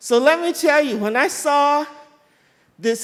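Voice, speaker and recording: A woman speaks loudly. Her pitch is high. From Texas, Beaumont. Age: 60s. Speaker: community member speaking at panel. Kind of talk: public comment at community forum.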